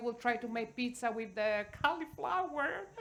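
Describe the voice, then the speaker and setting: In an Italian accent, a woman talks with lively intonation. Her pitch is high. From Italy. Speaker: cooking teacher. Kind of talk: panel discussion.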